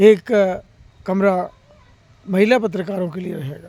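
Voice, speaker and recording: A man speaks with a high voice. The rise and fall of his intonation is fairly even. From Madhya Pradesh, India (Narmadapuram district village). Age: 60s. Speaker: senior journalist. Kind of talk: public address on journalists' issues.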